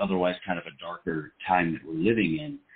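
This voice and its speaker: In an American accent, a man with fairly low pitch and ordinary pitch variation speaks at a moderate pace in an ordinary speaking voice. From Seattle area, US Pacific Northwest. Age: 30s. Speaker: film actor. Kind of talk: casual interview chat.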